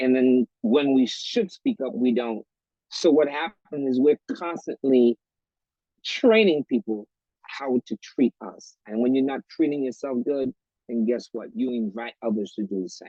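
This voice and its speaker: The sound is dry and close with no echo as a man with a normal speaking voice talks at a fairly slow pace, his pitch medium and its variation ordinary. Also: big swings in loudness. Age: 60s. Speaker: author and retired educator. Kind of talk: talk show interview.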